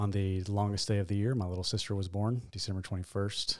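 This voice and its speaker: A man talks at a moderate pace in a fairly low voice, with monotone, flat intonation. The recording is very clean, with a silent background. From Tennessee, Nashville area. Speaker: pastor. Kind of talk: interview.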